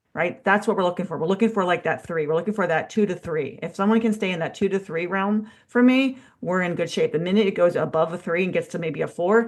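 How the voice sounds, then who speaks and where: Very fast and fairly low in pitch, a woman speaks with an American accent. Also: quiet background. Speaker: strength coach. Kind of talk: casual podcast chat.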